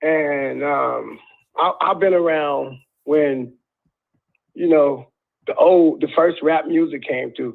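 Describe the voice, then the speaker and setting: A man speaks at a very slow pace. Long, frequent pauses break up his speech. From US South, Arkansas. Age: 40s. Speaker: caller. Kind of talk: call-in radio conversation.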